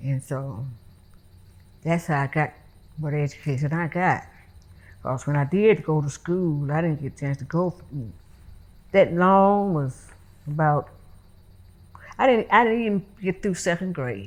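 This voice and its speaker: A woman with a Mississippi accent and very deep, low pitch talks at a fairly slow pace with lively intonation and long, frequent pauses, on a very clean recording with a silent background. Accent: Southern US, Mississippi. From Mississippi, US. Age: 90s. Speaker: former domestic worker and cotton picker. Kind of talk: oral history interview answer.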